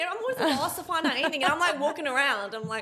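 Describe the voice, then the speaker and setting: A raised, projected voice at a very fast pace, very wide pitch swings, a slight South African accent and noticeable background noise. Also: woman. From southern Africa. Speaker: singer. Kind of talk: casual chat. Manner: animated.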